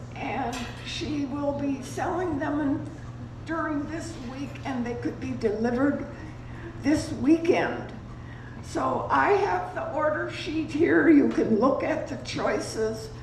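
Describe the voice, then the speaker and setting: Over noticeable background noise and audible room echo, a woman talks at a very slow pace. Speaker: retirement community resident. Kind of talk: community announcement. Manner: halting. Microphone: too quiet.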